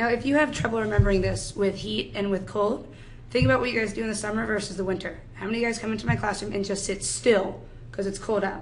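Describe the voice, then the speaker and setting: With an American accent and lively intonation, a woman speaks at a very fast pace. Noticeable background noise and audible room echo fill the recording. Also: medium pitch for a woman. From New York. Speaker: high school chemistry teacher. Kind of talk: lecture. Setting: classroom.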